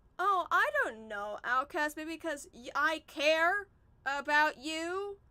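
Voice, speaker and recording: The voice is raised and projected, with a bright, sharp tone. It moves at a very slow pace. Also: woman. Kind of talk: emotional personal vent on livestream. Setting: livestream.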